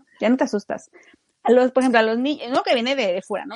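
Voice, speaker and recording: A woman's voice comes through in a dry, close sound with no echo. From Mexico, Torreón. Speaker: youtuber. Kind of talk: casual chat.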